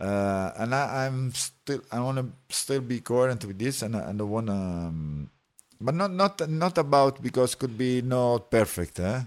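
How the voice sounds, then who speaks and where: A man in an Italian accent speaks at a fairly slow pace with a medium pitch and very wide pitch swings. The recording is very clean, with a silent background. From Italy. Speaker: techno DJ, former radio host. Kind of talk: casual interview. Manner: halting, many fillers.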